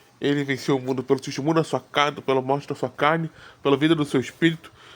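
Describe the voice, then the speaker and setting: In a very clean recording with a silent background, a man speaks very fast at a fairly high pitch in a flat, monotone delivery. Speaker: preacher. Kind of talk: sermon. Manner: halting.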